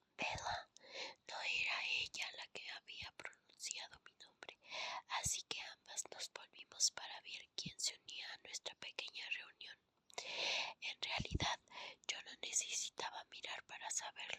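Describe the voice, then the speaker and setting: Whispering at a fairly slow pace, with big swings in loudness. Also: woman, dry, close sound with no echo. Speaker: ASMR content creator. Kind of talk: ASMR whispered book reading. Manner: whispered, soft.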